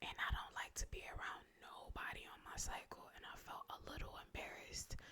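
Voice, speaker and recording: A woman whispering at a moderate pace. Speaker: ASMR creator. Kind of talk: ASMR storytime ramble, casual talk to camera.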